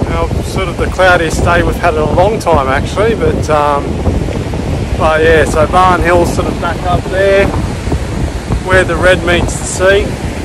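Over loud background noise, a man speaks at a fairly slow pace with long, frequent pauses. The sound is dry, with no echo. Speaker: travel vlogger. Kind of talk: casual vlog chat. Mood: relaxed, easygoing. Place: beach. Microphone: phone near.

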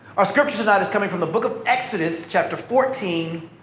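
In a room with audible echo and light background noise, a man speaks in a high pitch with ordinary pitch variation. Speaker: pastor. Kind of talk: sermon. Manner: animated.

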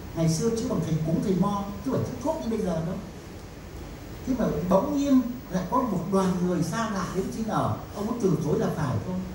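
A man speaks at a moderate pace in a high voice. Audible room echo and noticeable background noise surround him. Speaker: professor and researcher. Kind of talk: lecture storytelling to audience. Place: hall.

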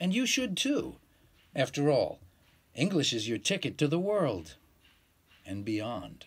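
With an American accent and vocal fry, a man speaks at a fairly slow pace. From New York. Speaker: English teacher. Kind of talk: promotional talk to camera. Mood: relaxed, friendly, smiling. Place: home room. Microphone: phone near.

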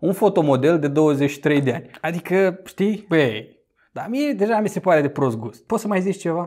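An animated man's high voice, lively in intonation, at a moderate pace against a quiet background. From Romania. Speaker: YouTuber commenting on news. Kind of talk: casual news commentary to camera. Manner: conversational, animated. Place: home room. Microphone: lapel.

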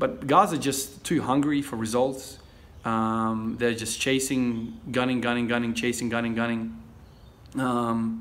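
Fairly slow and with fairly even intonation, a man speaks. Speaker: fitness vlogger. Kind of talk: casual vlog chat. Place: garage. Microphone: phone near.

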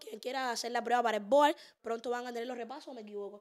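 A woman with a Cuban accent, high-pitched and animated, at a very fast pace against a quiet background. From Cuba, Havana. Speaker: podcast host and social media influencer; podcast host, social media influencer. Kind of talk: casual chat. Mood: playful, joking. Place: studio. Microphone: studio mic.

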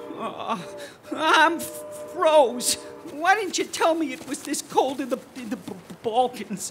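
In a put-on character voice that is whiny, with a nervous, whiny tone, the speaker talks very slowly over clear music in the background. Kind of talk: 1940s radio acting. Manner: nervous, whiny, complaining.

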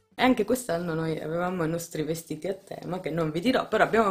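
A woman speaks at a very fast pace. Her pitch is fairly low, with ordinary variation. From Italy. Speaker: family vlogger, mother; family vlogger. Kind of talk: casual vlog talking to camera. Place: home room. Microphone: phone near.

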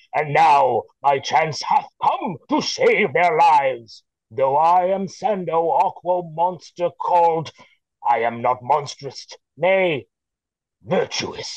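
This man is doing a put-on character voice pitched high. His pace is very slow. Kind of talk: Shakespearean verse reading. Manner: grand, boastful.

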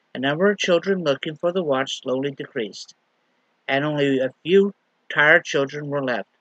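A man at a moderate pace with ordinary pitch variation, dry sound with no echo and a quiet background. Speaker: lay minister. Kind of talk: sermon. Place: home room. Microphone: webcam.

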